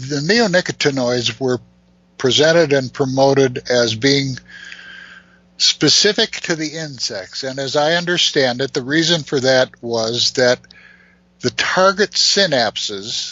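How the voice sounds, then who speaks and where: A man speaks at a fairly slow pace against noticeable background noise. His voice sits fairly high, with ordinary pitch variation. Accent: American. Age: 70s. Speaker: beekeeper. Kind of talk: radio interview discussion.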